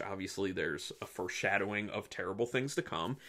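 Fairly quick speech from a man over a quiet background. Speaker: film reviewer. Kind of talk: commentary. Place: home room. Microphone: phone near.

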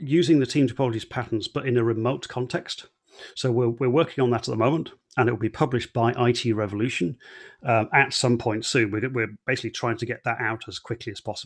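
A man rattles along very fast with fairly even intonation, the background quiet. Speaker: conference presenter. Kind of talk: online talk presentation. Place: home room. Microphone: headset.

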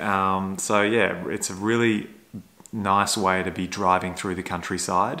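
A man speaks in a fairly low voice at a moderate pace. He has an unremarkable speaking voice with fairly even intonation. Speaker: electric car vlogger. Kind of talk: casual vlog chat. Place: home room. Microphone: phone near.

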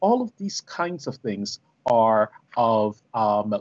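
With lively intonation, a man speaks very slowly in front of a quiet background. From Barbados. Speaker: professor. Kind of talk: panel discussion. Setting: video call. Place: home room. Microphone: video call.

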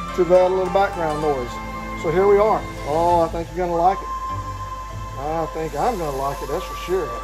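Moderate pace from a man, clear music behind him. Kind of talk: casual tutorial chat. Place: workshop. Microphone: camera far.

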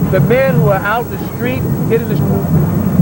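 Loud background noise surrounds a man speaking at a moderate pace, recorded dry with no echo. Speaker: parade commentator. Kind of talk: commentary. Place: street.

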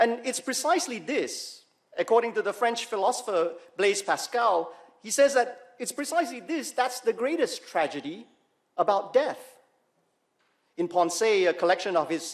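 A man at a moderate pace, with very wide pitch swings and long, frequent pauses, over a quiet background. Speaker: preacher. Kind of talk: sermon. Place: church. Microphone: podium.

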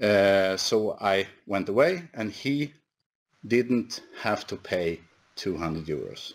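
A man with a fairly low pitch speaks at a very slow pace, his intonation lively. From Sweden. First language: Swedish. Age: 50s. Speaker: company executive; presenter. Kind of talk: conference presentation. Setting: online webinar. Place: office. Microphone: headset.

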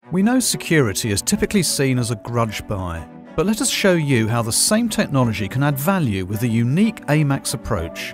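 Over music in the background, a man with a medium pitch talks at a fairly quick pace in an upbeat tone, with very wide pitch swings. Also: hardly any pauses. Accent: British. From England. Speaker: voice actor. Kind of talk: explainer video corporate narration.

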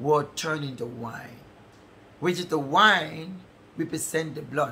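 This man's voice sits at a fairly high pitch and has an animated tone. Light background noise can be heard. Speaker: preacher. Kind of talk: sermon. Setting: church service streamed online. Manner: animated, fervent, preaching in full flow with call-and-response. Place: home room.

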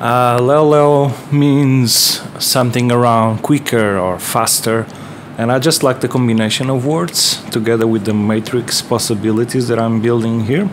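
Over noticeable background noise, a man with a Portuguese accent talks at medium pitch and a fairly slow pace. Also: ordinary pitch variation. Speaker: DIY synthesizer builder and video maker. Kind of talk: tutorial video log. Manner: halting, many filler words; enthusiastic. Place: home room. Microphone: earbuds.

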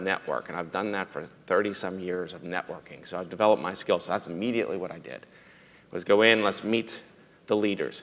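The speaker has an American accent. The pace is moderate and the intonation fairly even. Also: man. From western Pennsylvania, Fayette County; western Pennsylvania. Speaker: state senator, business owner; state senator. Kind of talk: panel discussion. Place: stage.

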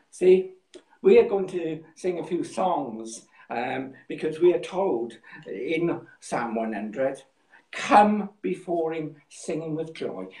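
A man talks at a very slow pace with big swings in loudness, audible room echo around him and a quiet background. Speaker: pastor. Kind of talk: sermon. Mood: warm, calm. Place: home room. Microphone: phone near.

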